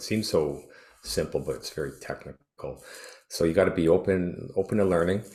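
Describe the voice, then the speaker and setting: This man talks at a fairly quick pace, his voice showing vocal fry. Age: 60s. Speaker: retired teacher and triathlete. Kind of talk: interview. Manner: halting, many fillers.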